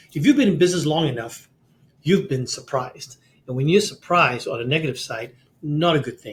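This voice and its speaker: A somewhat breathy voice at a fairly quick pace, with ordinary pitch variation. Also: man. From Singapore. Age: 60s. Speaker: CEO coach and author. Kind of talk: podcast interview. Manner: animated, frequent repetitions.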